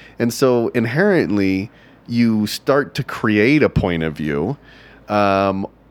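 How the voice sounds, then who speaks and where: Speaking with an American accent, a man has an unremarkable speaking voice, fairly low pitch and lively intonation. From Texas. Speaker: stand-up comedian. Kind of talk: casual interview chat.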